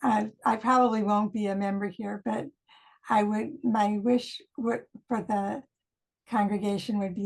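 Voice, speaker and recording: Somewhat breathy, a woman talks at medium pitch with fairly even intonation. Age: 70s. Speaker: minister. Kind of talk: recorded video greeting.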